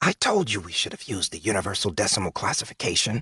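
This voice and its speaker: A put-on character voice from a man, raspy and fairly low-pitched, delivered at a very fast pace. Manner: fast-talking, arguing.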